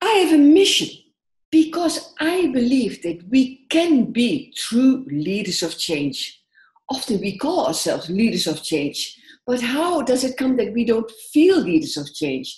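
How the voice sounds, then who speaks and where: Speaking in a Dutch accent, a woman with a high pitch goes at a fairly slow pace, making very wide pitch swings. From Netherlands. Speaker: social work entrepreneur and coach. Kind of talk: conference presentation.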